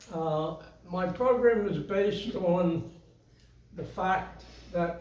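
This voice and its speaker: Noticeable background noise and audible room echo accompany a man whose voice has a high pitch. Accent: American. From US, western Pennsylvania. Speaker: retirement home resident presenter. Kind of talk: talk to audience. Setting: room with audience, with microphone. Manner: halting.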